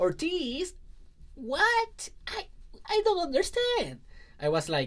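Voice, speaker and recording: Long, frequent pauses throughout a man's very slow speech. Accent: Spanish. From Puerto Rico, rural southwest. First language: Spanish. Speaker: life coach. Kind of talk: personal story talk.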